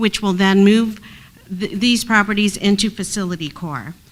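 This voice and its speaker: A woman has an ordinary speaking voice, pitched fairly high. She keeps a moderate pace with ordinary pitch variation. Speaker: housing agency staff presenter. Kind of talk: committee meeting presentation.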